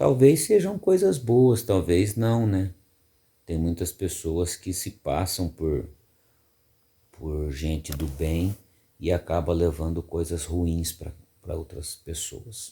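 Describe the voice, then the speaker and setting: Very slow and somewhat breathy, the voice has a dark, mellow tone and ordinary pitch variation. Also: man, very deep, low pitch for a man. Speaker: radio announcer. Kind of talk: casual reflective talk to camera.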